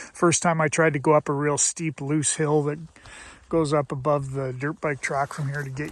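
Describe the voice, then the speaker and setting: Fairly high in pitch and somewhat breathy, a man talks at a fairly quick pace with monotone, flat intonation. The recording is very clean with a silent background and a dry, close sound with no echo. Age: 60s. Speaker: motorcycle vlogger. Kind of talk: casual vlog monologue. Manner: relaxed, conversational with fillers.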